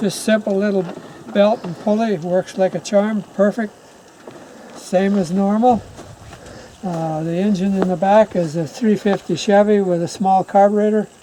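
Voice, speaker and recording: With noticeable background noise behind him, a man with a high pitch speaks at a moderate pace, his intonation fairly even and his speech broken by long, frequent pauses. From rural North America, family homestead. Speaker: farmer. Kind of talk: casual chat.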